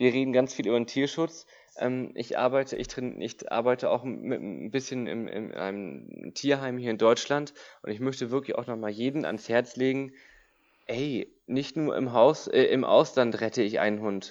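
A man with an unremarkable speaking voice talks at a moderate pace, with medium pitch and fairly even intonation. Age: 30s. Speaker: dog trainer and animal welfare volunteer. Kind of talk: casual interview chat.

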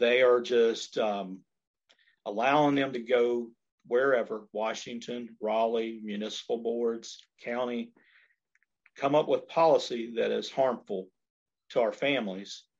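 In an American accent, a man of medium pitch speaks at a fairly slow pace with long, frequent pauses against a quiet background. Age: 50s. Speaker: political candidate. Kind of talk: interview.

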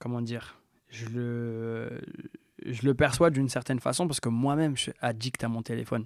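A man with an unremarkable speaking voice talks at a medium pitch. His pace is moderate and his intonation fairly even. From France, Metz. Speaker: music producer. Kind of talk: casual interview chat.

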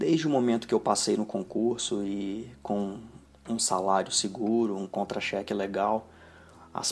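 The clip features an ordinary speaking voice, its pitch varying in an ordinary way. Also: man. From Brazil. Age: 30s. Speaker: financial planner. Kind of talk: personal video monologue.

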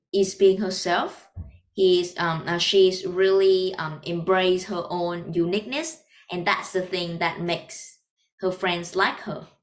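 A woman with a Vietnamese accent speaks at a fairly slow pace. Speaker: podcast host. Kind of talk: casual interview chat.

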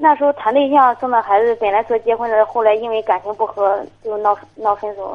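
A woman talks at a fairly quick pace with hardly any pauses, her pitch fairly high. It is an ordinary speaking voice. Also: ordinary pitch variation. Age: 20s. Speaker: caller, young mother. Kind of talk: phone-in conversation. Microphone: too quiet at first.

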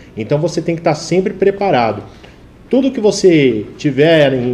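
Noticeable background noise sits under a man's voice. He moves at a moderate pace with very wide pitch swings. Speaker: advertising professional and TV presenter. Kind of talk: live talk show interview.

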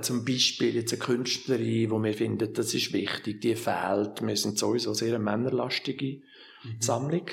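A man of medium pitch at a fairly slow pace. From Switzerland, Lucerne. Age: 60s. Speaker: art museum director. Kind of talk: interview. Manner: halting.

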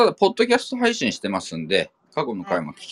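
Speaking at a very fast pace, a man is heard in a dry, close sound with no echo. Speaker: podcast host, film enthusiast. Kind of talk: casual chat.

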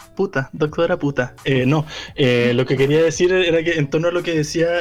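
Amid noticeable background noise, a man with a Chilean accent speaks at a moderate pace, fairly high in pitch with ordinary pitch variation. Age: 20s. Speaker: podcast co-host. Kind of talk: casual chat.

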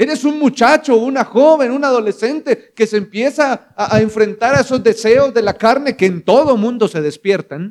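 Speaking at a moderate pace with hardly any pauses, a man uses an extremely high pitch and ordinary pitch variation. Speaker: preacher. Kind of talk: sermon. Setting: church. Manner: animated; direct, exhorting the congregation.

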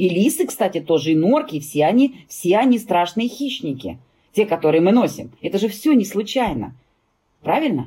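At a moderate pace, the voice is somewhat breathy with a dark, mellow tone and very wide pitch swings. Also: woman, medium pitch for a woman. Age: 50s. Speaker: fur industry expert and brand owner. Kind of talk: interview.

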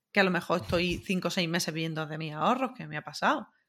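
On a very clean recording with a silent background, a woman with vocal fry and fairly low pitch talks at a very fast pace. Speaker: podcast guest, web developer. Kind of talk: casual chat.

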